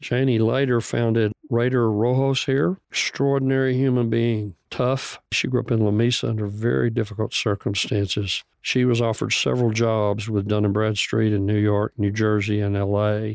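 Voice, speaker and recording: A man with a Texan accent talks at a moderate pace with hardly any pauses and very even loudness. His pitch is fairly low, his intonation fairly even, and the background quiet. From Texas, Bonham (northeast of Dallas). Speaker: nonprofit food company CEO. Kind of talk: radio interview.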